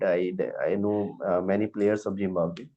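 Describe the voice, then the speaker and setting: With an Indian accent, a man speaks at a fairly low pitch. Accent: Indian accent, wants to lose it. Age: 20s. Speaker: teacher and English learner. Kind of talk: online English lesson chat. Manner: halting, many fillers.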